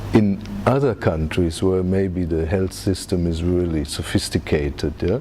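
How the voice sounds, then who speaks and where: Music plays in the background as a man with a German accent talks at a fairly slow pace. His pitch is very deep and low, with ordinary variation. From Germany. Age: 50s. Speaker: reiki teacher. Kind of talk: interview. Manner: frequent fillers and tag questions.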